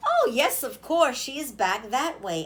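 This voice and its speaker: A woman's put-on character voice, high in pitch with very wide pitch swings, at a fairly slow pace. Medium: read story. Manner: friendly, polite.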